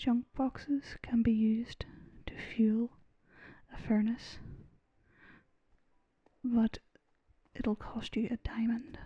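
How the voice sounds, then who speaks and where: A soft-spoken, relaxed delivery at a very slow pace, broken by long, frequent pauses. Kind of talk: soft-spoken gaming commentary for relaxation.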